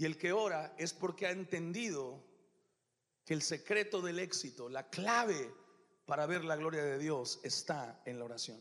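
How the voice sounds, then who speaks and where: Lively intonation carries the speech. It is delivered in a normal speaking voice. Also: man, fairly high pitch for a man, fairly slow pace. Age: 40s. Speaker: pastor. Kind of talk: sermon.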